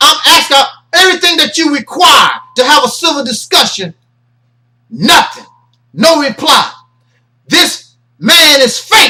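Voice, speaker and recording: In a raised, projected voice with a bright, sharp tone, the speaker moves at a fairly slow pace with long, frequent pauses, very even loudness and lively intonation. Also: man, extremely high pitch for a man. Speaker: internet ministry host. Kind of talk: commentary monologue. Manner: animated.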